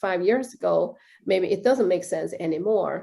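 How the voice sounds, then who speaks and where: Speaking at a moderate pace, a woman with a Chinese accent has a dark, mellow tone at medium pitch, with vocal fry. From China. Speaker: director of a professional association. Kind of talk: interview. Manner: halting, many fillers.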